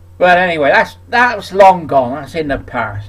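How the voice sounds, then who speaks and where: A man with a West Country accent speaks at a high pitch. His pace is fairly slow, with very wide pitch swings. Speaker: country sports presenter. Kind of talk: casual vlog talk.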